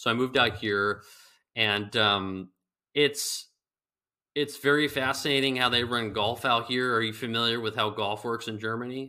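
Medium-pitched male voice in a Californian accent, bright and sharp in tone, with fairly even intonation. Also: moderate pace. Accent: Californian American. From Northern California, Bay Area. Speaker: golf ball company founder. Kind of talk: interview. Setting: remote call.

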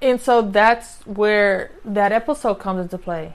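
A plain, everyday voice with an American accent, moving at a moderate pace with ordinary pitch variation. The background is quiet. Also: woman. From US, grew up in housing projects. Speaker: podcast host. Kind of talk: solo podcast monologue. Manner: conversational, frequent tag questions.

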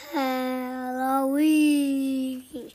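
A put-on character voice sounds female and high-pitched. The intonation stays monotone and flat. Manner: spooky.

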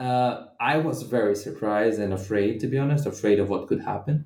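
A man talks at a moderate pace with a Portuguese accent. His medium pitch shows ordinary variation. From Brazilian Midwest. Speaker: anthropologist and author. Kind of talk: interview.

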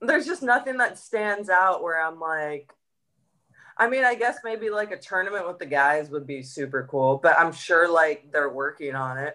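A woman with a fairly low pitch and a bright, sharp tone talks at a moderate pace, her pitch swinging very widely. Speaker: professional golfer. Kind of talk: interview. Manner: talkative.

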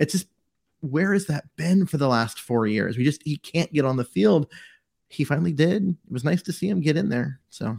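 A man with a fairly high pitch and a somewhat breathy voice talks at a moderate pace with lively intonation, in a dry, close sound with no echo. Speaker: co-host, sports writer and football analyst. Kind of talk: casual sports podcast chat.

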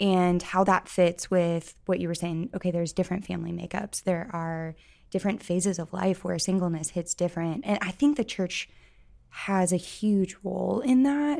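On a very clean recording with a silent background, a woman speaks with an American accent. Her tone is dark and mellow, and her pitch is fairly low. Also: ordinary pitch variation, moderate pace. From Missouri, US. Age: 30s. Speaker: college ministry director. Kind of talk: podcast interview.

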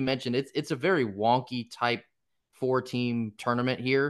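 At a moderate pace, a man speaks in an unremarkable speaking voice at a medium pitch. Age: 20s. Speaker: college baseball commentator. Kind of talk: casual chat.

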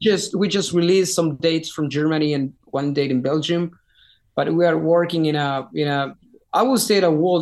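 In a Spanish accent, a man talks at a moderate pace with ordinary pitch variation and a fairly high voice. The recording is very clean, with a silent background. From Chile. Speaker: rock singer. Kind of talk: interview. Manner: halting, many repetitions.

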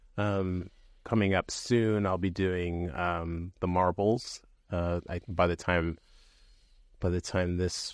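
A man with a West Coast accent at a very slow pace, very deep and low in pitch, with fairly even intonation, in a dry, close sound with no echo and a quiet background. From San Francisco Bay Area. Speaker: podcast co-host. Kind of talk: casual chat.

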